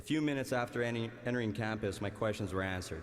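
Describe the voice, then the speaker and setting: A man with a Canadian accent, medium pitch and ordinary pitch variation, at a very fast pace, with audible room echo and music in the background. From Canada, Winnipeg, Manitoba. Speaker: valedictorian, college graduate and former hockey player. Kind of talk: commencement speech. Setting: arena stage with large audience.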